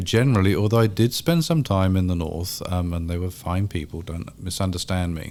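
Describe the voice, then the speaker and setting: This man's very deep, low voice moves at a fairly quick pace. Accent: British. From England, London. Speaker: history professor. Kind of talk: casual chat. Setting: studio.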